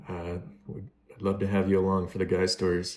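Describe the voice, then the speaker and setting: A man mumbles in a very deep, low pitch with a dark, mellow tone and an American accent. The recording is very clean, with a silent background. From United States. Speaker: YouTuber doing gameplay commentary. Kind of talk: casual vlog over gameplay. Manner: monotone; mumbling, pauses between words.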